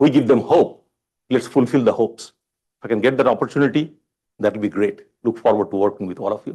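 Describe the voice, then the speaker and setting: With an Indian accent, the speaker talks at a very fast pace in a dark, mellow tone with lively intonation. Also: man, medium pitch for a man. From India (Bombay). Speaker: college chancellor candidate. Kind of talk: job interview forum. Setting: public forum with live audience.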